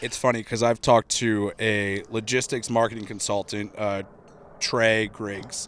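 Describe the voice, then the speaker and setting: A man speaks at a fairly slow pace in a fairly low pitch. His intonation is monotone and flat. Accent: American. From Cleveland, Ohio. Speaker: podcast host. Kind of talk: podcast interview. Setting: outdoors at a golf course. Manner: casual, conversational.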